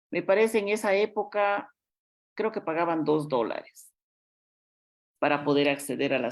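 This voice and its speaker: A woman talks at a moderate pace with lively intonation and some vocal fry, on a very clean recording with a silent background. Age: 60s. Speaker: politician. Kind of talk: interview.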